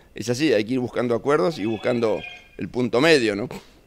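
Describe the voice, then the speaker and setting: A man talks at medium pitch with ordinary pitch variation. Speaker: president of a rural producers' association. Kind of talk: interview. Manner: halting, with many fillers.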